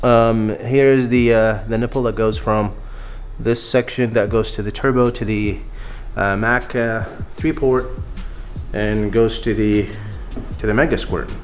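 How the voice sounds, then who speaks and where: A man talks fairly slowly, pausing often and at length, while noticeable background noise carries on. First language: not English. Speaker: car builder. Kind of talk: casual talk to camera.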